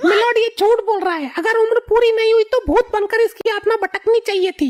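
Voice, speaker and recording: In a cartoonish character voice pitched extremely high, a woman talks at a fairly quick pace, the sound dry and close with no echo. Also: ordinary pitch variation. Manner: loud and argumentative.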